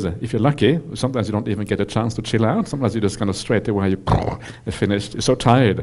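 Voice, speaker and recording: Very fast, a man talks in a dark, mellow tone. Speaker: Buddhist monk teacher. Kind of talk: dharma talk to audience. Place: hall. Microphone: headset.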